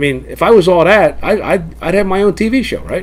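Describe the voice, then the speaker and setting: A man talks against noticeable background noise. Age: 60s. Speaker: senior softball player and car dealer. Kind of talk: documentary interview. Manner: casual, profane.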